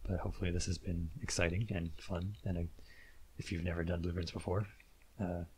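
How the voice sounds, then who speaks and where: Speaking at a fairly quick pace, a man with a very deep, low pitch sounds somewhat breathy, his intonation monotone and flat, with long, frequent pauses. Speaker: game development tutorial creator. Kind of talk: tutorial. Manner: casual, hesitant with filler words.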